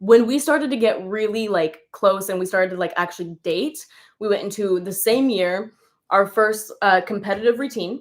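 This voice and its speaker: A woman speaks at a fairly slow pace in a normal speaking voice. Her pitch sits at a medium level, with ordinary pitch variation. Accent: General American. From California. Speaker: dancer. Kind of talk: casual chat. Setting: livestream.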